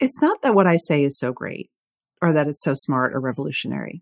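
A woman in an anxious tone swings her pitch very widely, recorded with a dry, close sound with no echo. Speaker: author and podcaster. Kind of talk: casual interview chat. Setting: video call. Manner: anxious, self-conscious.

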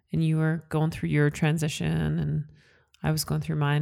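On a very clean recording with a silent background, a woman with a Western Canadian accent speaks at a fairly quick pace. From Canada, Calgary, Alberta (Italian household). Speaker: podcast co-host. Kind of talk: casual chat.

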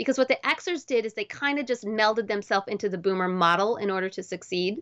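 Against a quiet background, a woman with an American accent talks at a fairly quick pace and fairly high pitch, her tone animated and her pitch variation ordinary. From Wisconsin, US Midwest. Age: 40s. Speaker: chiropractor and college admissions administrator. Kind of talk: interview.

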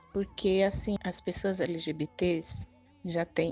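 The intonation stays fairly even in a dry, close sound with no echo, while music plays in the background. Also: woman. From Northeast Brazil. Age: 50s. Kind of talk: testimony.

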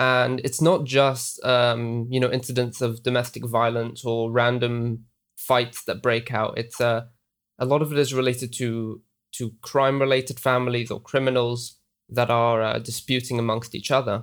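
A man's monotone, flat delivery at a moderate pace. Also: medium pitch for a man. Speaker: news editor. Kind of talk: interview. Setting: video call.

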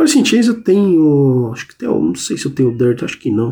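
A man speaks at a moderate pace in a dark, mellow tone, his pitch swinging very widely. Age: 40s. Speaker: podcast host and music journalist. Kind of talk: casual solo podcast talk.

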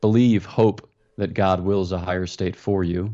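A man's fairly low voice, an ordinary speaking voice, with fairly even intonation. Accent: American. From US, Philadelphia area. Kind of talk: interview.

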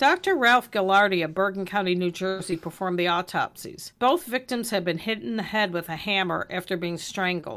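Woman at a medium pitch, fairly quick pace, ordinary pitch variation and hardly any pauses, on a very clean recording with a silent background. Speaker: true crime podcast co-host. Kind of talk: reading aloud; casual chat.

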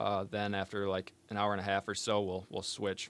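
Speaking with an American accent, a man has a fairly low pitch. He keeps a moderate pace. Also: quiet background. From northern Michigan, Benzie County. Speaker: college wrestler, engineering student. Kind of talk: casual interview. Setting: studio.

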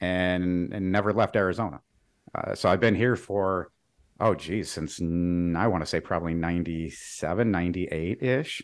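At a moderate pace, the speech sits on a very clean recording with a silent background. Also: man, very deep, low pitch for a man, ordinary pitch variation. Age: 40s. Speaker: sales engineer. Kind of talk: interview.

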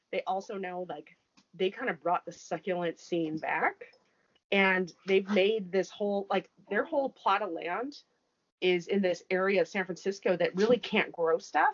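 A woman with an American accent and a medium pitch speaks at a moderate pace. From northern Wisconsin, US Upper Midwest. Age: 30s. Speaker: podcast co-host. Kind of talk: casual chat.

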